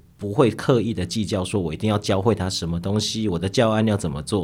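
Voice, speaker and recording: In an ordinary speaking voice, a man talks at a fairly quick pace with a fairly low pitch and lively intonation, on a very clean recording with a silent background. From Taiwan, Nantou. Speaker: novelist and high school teacher. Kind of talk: interview conversation.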